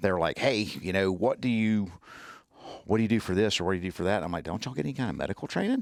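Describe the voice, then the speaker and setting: The speaker has a strong Southern US accent and ordinary pitch variation. The pace is very fast. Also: man, fairly low pitch for a man. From US South. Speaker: tactical medicine instructor. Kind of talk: podcast interview. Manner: halting.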